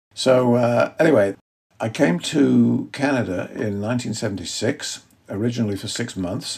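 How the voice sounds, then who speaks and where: The man's voice sits at a medium pitch and carries vocal fry. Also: ordinary pitch variation, moderate pace. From northwest England (Cheshire, near Liverpool). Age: 70s. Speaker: wildlife photographer, retired physician. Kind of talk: interview.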